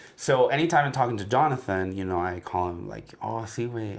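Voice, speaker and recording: Audible room echo surrounds a man speaking at a moderate pace in a fairly low pitch. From Mexico, Guadalajara. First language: Spanish. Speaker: podcast co-host. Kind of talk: casual chat. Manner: code-switching Spanish and English.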